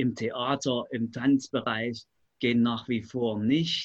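A man is talking. His pace is very slow. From Leipzig, eastern Germany. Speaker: community centre director. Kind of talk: radio panel discussion.

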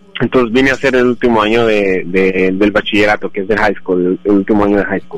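Very fast and with hardly any pauses, a man talks at a fairly low pitch with fairly even intonation amid noticeable background noise. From Colombia, Bogotá. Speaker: immigrant guest. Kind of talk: interview.

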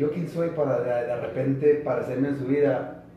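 A man talks in a space with audible room echo, and noticeable background noise is also present. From California. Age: 50s. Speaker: rehab patient. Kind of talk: testimony.

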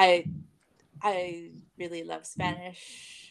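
With an American accent, a woman speaks in a fairly low pitch and a monotone, flat intonation. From Bay Area, California. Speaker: teacher. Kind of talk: interview.

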